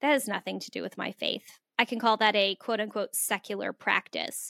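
A woman with an American accent, bright and sharp in tone, at a moderate pace with ordinary pitch variation, in a dry, close sound with no echo on a very clean recording against a silent background. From Phoenix, US. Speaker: author and homeschooling mom. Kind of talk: interview conversation.

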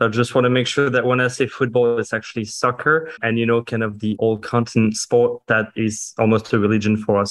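Speaking at a fairly quick pace, a man of medium pitch talks with a French accent. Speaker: gaming company executive. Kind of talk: podcast interview.

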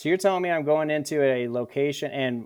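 This is a normal speaking voice with an American accent, talking at a fairly quick pace with ordinary pitch variation. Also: man. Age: 30s. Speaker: combat veteran. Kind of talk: interview.

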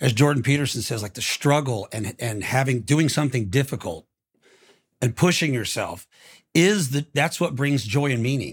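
Somewhat breathy, a man with an American accent talks at a moderate pace on a very clean recording with a silent background. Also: medium pitch for a man, lively intonation. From Tampa, Florida. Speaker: country musician guest. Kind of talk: casual conversation about faith and grief. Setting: studio.

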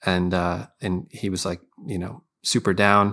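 A man with an American accent speaks at a fairly slow pace. His pitch is very deep and low, and the recording is very clean with a silent background. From Scranton, Pennsylvania. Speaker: musician. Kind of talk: casual chat.

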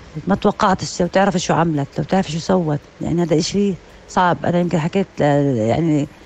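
Her voice sits fairly low for a woman. She speaks at a moderate pace with ordinary pitch variation. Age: 50s. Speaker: mother sharing experience. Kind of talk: personal testimony. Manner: halting.

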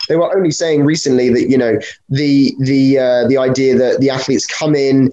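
A man with a British accent, a fairly high pitch and monotone, flat intonation. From Britain. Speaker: podcast host and fencing coach. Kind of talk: casual interview chat. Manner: halting with fillers.

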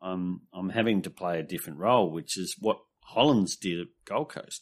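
In an Australian accent, a man with a very deep, low pitch talks at a moderate pace. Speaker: fantasy football pundit. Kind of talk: casual chat. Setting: video call.

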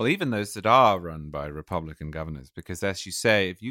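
Recorded dry and close with no echo against a silent, very clean background, a man talks at a fairly quick pace in a very deep, low pitch with a bright, sharp tone and ordinary pitch variation. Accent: English. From England. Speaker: political writer and editor. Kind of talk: interview conversation.

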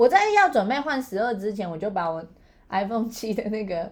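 A woman's very fast speech with ordinary pitch variation. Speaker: podcast co-host. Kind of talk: casual chat. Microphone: built-in laptop mic.

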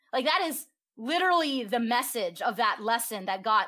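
On a very clean recording with a silent background, a woman's bright, sharp tone swings very widely in pitch. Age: 30s. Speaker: sex educator. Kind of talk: interview.

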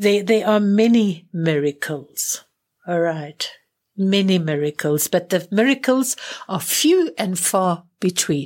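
A woman speaks in a South African accent at a medium pitch. Her pace is very slow and her intonation lively. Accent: refined South African English. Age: 70s. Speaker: spiritual teacher and clairvoyant healer. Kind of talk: interview conversation.

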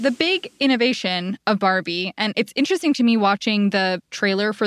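A woman's medium-pitched, normal speaking voice at a fairly quick pace, dry and close with no echo. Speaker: podcast host and journalist. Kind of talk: scripted narration.

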